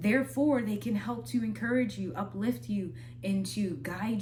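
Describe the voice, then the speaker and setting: With an American accent, a woman talks at a fairly low pitch amid noticeable background noise and audible room echo. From Minnesota. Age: 20s. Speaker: spoken word artist and vlogger. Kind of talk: casual advice talk. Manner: conversational, slightly halting.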